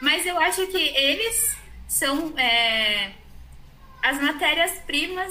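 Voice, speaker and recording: With noticeable background noise and audible room echo, a woman uses a raised, projected voice and lively intonation at a very slow pace. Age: 30s. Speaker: psychology student. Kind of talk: casual chat.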